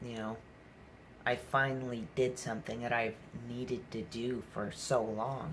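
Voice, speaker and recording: This man's voice sits at a medium pitch and is somewhat breathy. He keeps his intonation fairly even. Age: 20s. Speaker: vlogger talking about mental health. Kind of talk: personal vlog monologue. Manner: halting, many fillers.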